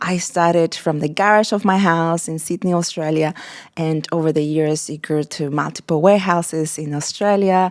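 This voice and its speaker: On a very clean recording with a silent background, a woman with a Mexican accent speaks at a moderate pace and a fairly low pitch. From Mexico. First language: Spanish. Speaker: wedding florist and event designer. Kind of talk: podcast interview. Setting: studio, on camera. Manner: enthusiastic.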